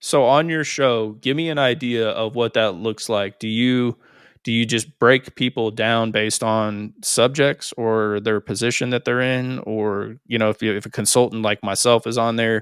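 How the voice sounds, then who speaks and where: A man's normal speaking voice at medium pitch, moderate pace with hardly any pauses, fairly even intonation, and a dry, close sound with no echo on a very clean recording with a silent background. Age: 40s. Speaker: podcast host and business consultant. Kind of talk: podcast interview.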